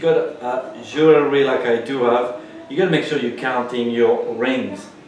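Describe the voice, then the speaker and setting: With a French accent, a man talks fairly slowly at a fairly high pitch with ordinary pitch variation, over noticeable background noise and audible room echo. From France. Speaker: pastry chef. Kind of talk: cooking tutorial. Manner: casual, chatty.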